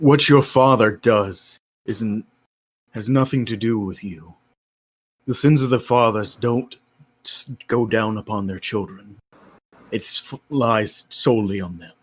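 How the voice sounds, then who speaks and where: Using a put-on character voice, a man speaks at a fairly slow pace with a strained sound. His pitch is medium. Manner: speaking through gritted teeth, tense and restrained.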